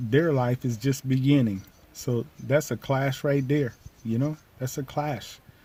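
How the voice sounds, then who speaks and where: With a dark, mellow, somewhat breathy voice at medium pitch, a man talks at a fairly slow pace with fairly even intonation. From United States. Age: 60s. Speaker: vlogger. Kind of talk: casual monologue. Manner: repetitive, halting.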